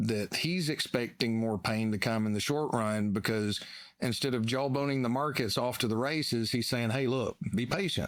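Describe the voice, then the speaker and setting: A man with a Southern US accent, medium pitch, ordinary pitch variation and a moderate pace, in a very clean recording with a silent background. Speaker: financial analyst. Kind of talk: casual chat.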